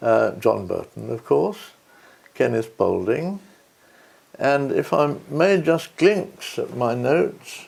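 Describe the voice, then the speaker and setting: A man speaks with a British RP accent. His pace is very slow, with long, frequent pauses. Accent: older British RP. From England. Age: 80s+. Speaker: peace and conflict researcher. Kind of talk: interview. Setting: at home. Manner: halting, with many fillers.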